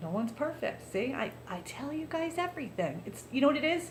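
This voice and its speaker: A woman talks at a fairly quick pace in an animated tone, with very wide pitch swings. The room echo is audible. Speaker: vlogger. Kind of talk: casual monologue. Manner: loud.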